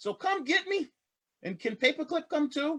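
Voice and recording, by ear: A man's put-on character voice, extremely high in pitch, bright and sharp, with big pitch swings. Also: moderate pace.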